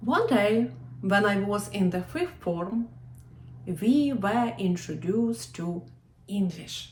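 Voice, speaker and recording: Somewhat breathy female speech of medium pitch in a Ukrainian accent, very slow, with lively intonation. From Ukraine. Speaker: historian and walking tour guide. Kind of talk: personal story told to camera.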